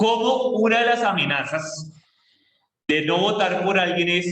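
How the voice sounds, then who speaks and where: A man with a Colombian accent speaks in a high pitch with lively intonation, and the room echo is audible. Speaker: school teacher. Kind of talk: classroom lesson.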